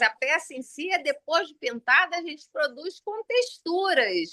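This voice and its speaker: With a bright, sharp tone, a woman raises and projects her voice. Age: 60s. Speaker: artisan, sculptor of religious figures. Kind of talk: casual chat. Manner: animated.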